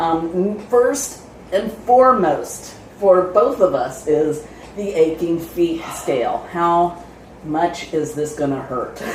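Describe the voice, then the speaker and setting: A woman speaks very slowly at a fairly low pitch, her intonation lively. Noticeable background noise and audible room echo fill the recording. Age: 60s. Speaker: travel vlogger. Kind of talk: casual chat.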